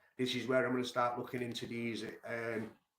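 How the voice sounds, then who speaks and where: In a room with audible echo, a man with a Manchester accent talks at a fairly quick pace and a medium pitch. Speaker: music commentary streamer. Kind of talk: casual monologue. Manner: fast; animated.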